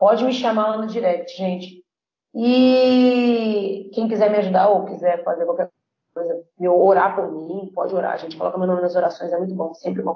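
With an ordinary speaking voice, a woman talks at a moderate pace and medium pitch, her pitch varying in an ordinary way. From Brazil, Espírito Santo (Vitória). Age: 20s. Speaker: missionary. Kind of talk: podcast interview.

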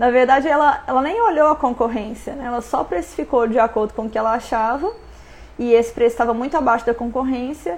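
A woman's high-pitched voice at a very fast pace, with ordinary pitch variation. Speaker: business coach. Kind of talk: live stream talk. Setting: live stream.

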